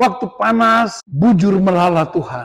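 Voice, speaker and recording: Against a quiet background, a man with a high-pitched voice speaks at a fairly slow pace with lively intonation. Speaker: pastor. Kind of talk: sermon. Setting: church retreat with audience. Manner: loud; animated. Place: hall. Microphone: handheld.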